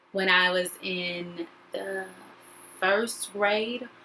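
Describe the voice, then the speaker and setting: The voice has a bright, sharp tone, fairly even intonation and an American accent. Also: woman. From US South, North Carolina. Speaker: actor and educator. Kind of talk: video self-introduction.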